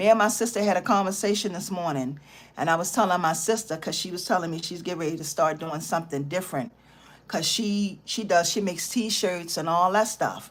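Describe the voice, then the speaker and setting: At a fairly quick pace, a woman speaks at medium pitch. Her pitch varies in an ordinary way. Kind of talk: motivational livestream talk. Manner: animated.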